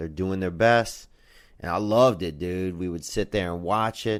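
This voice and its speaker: A man speaks in an enthusiastic tone. The recording is very clean, with a silent background. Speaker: stand-up comedian. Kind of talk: casual talk to camera, podcast monologue. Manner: laid-back, enthusiastic, conversational.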